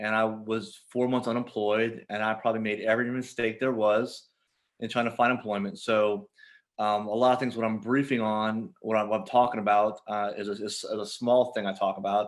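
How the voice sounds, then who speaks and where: The recording is very clean and the background silent. Intonation stays monotone and flat. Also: man, medium pitch for a man. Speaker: veteran employment advisor. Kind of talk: presentation. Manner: fast; halting.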